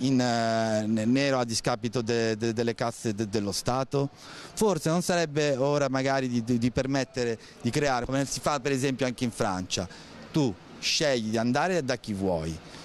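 The voice shows ordinary pitch variation while faint music plays in the background. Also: man, moderate pace, very even loudness, dry sound with no echo. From Voghera, Lombardy, northern Italy; Lombardy, Italy. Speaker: passer-by in street interview. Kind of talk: street interview. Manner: halting, repeated words. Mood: critical, opinionated. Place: street. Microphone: handheld.

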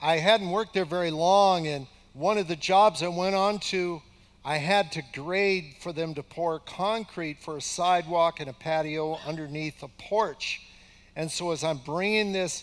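A man's high-pitched, fairly slow delivery with fairly even intonation. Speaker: pastor. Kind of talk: sermon. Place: church.

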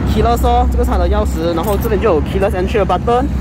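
The sound is dry, with no echo. Music plays in the background. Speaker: car reviewer. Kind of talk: casual car walkaround commentary. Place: street. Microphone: phone near.

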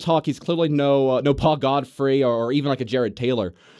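Over a quiet background, a man with an American accent talks in a fairly high voice with a dark, mellow tone. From US South. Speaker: political commentator. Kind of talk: interview. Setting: studio. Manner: halting. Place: studio. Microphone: studio mic.

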